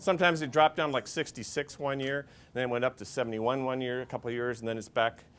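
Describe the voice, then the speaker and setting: The man rattles along at a very fast pace, his medium pitch showing ordinary variation. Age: 60s. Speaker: financial planner. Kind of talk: seminar talk to an audience. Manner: conversational, many fillers and restarts.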